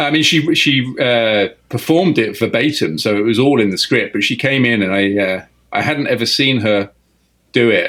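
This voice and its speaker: A man with an English accent speaks at a medium pitch. His pace is moderate and his intonation lively. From England. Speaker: film director. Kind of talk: interview. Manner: halting.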